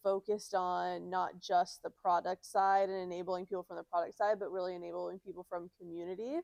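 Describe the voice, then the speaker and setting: A woman speaks with monotone, flat intonation, and the sound is dry and close with no echo. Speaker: community lead at a software company, former recruiter. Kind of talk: live panel conversation. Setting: small in-person event with audience, small mics. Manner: loud.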